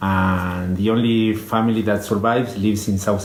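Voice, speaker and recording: The man's intonation stays monotone and flat. Audible room echo and noticeable background noise surround his voice. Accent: Spanish. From Argentina. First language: Spanish. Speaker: conservation biologist. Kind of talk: interview. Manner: halting, many fillers.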